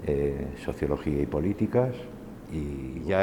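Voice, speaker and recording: Very deep and low in pitch, a man speaks at a very slow pace. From Spain. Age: 60s. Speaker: university lecturer. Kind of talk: oral history testimony. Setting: university faculty. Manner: hesitant, many fillers.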